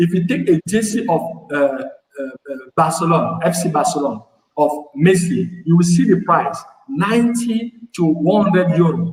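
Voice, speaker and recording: A man with a high voice speaks in a French accent. He keeps a moderate pace, broken by long, frequent pauses. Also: ordinary pitch variation. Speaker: panel speaker on African development. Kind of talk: panel debate. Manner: halting, frequent repetitions.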